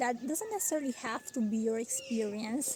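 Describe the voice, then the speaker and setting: At a moderate pace, a woman speaks in a high voice with a non-native accent. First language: not English. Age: 30s. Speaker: vlogger. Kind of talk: casual vlog talk. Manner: halting, frequent fillers.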